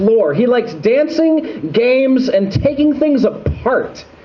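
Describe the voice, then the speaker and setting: Noticeable background noise is heard. Over it, a man speaks very slowly. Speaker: slam poet. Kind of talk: slam poetry performance.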